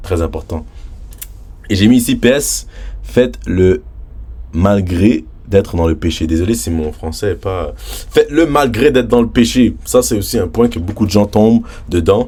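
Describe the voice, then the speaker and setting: Fairly slow male speech broken by long, frequent pauses. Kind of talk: casual religious vlog talk. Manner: animated.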